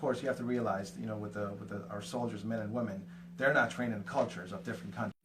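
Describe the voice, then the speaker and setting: Lively intonation and big swings in loudness come through noticeable background noise and audible room echo. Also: man, fairly low pitch for a man. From Afghanistan and Pakistan, moved to Houston as teen. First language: Afghan language (English is fourth). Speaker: realtor, team lead. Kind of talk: podcast interview. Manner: hesitant, many fillers.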